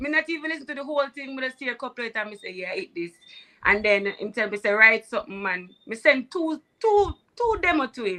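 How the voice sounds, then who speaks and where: A woman's raised, projected high voice, bright and sharp in tone, at a very fast pace with very wide pitch swings and big swings in loudness. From Jamaica. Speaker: singer. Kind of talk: interview.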